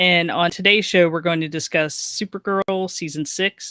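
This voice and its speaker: A woman speaks with a bright, sharp tone at a fairly low pitch and a fairly slow pace. Her intonation is fairly even, and the sound is dry and close with no echo. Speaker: podcast co-host. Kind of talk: podcast chat.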